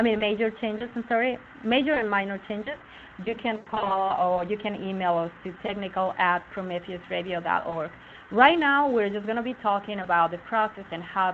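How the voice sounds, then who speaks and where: An unremarkable speaking voice from a woman, at a moderate pace with ordinary pitch variation. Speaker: webinar presenter. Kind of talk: tutorial. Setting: live online webinar.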